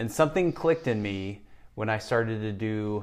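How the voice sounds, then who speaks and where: The pitch of this man's voice is fairly low, with ordinary variation. He speaks at a moderate pace. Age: 50s. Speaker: personal trainer and gym owner. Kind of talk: interview, personal life story. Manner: hesitant, with repetitions and fillers.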